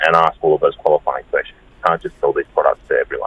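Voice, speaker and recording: Someone with an Australian accent speaks over noticeable background noise. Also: man. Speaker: advocacy campaign director. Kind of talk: radio interview. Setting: phone call.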